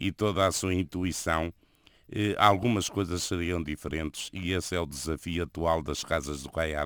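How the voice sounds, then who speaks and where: A man with a European Portuguese accent talks at a fairly slow pace in a very deep, low voice with vocal fry and ordinary pitch variation. The recording is very clean and dry, with a close sound, no echo and a silent background. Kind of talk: radio interview.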